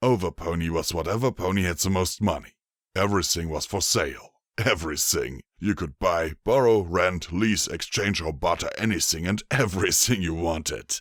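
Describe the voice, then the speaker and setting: A man's put-on character voice, very deep and low, at a moderate pace, in a very clean recording with a silent background. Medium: read story. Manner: easygoing, chuckling, amiable.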